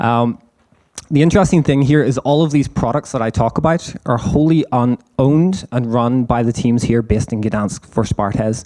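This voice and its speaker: A man's medium-pitched voice, dark and mellow in tone, with ordinary pitch variation, a moderate pace and very even loudness. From Ireland. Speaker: engineering manager. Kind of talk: conference presentation. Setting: stage with live audience, livestreamed. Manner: casual, with frequent fillers.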